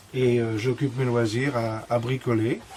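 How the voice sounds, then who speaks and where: A man talks at a fairly slow pace in a medium-pitched voice. There is noticeable background noise. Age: 60s. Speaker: retired carpenter, model maker. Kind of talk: casual demonstration interview. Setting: workshop. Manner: hesitant, many fillers.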